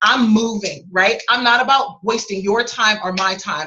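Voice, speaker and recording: Her voice has a bright, sharp tone and a fairly high pitch, and this woman uses ordinary pitch variation. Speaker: sales coach and author. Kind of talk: webinar teaching session. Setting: video call. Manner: fast; animated.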